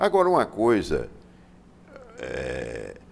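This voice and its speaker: A man's voice over noticeable background noise. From Brazil, Parnaíba, Piauí. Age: 70s. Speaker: politician. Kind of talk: interview. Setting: studio.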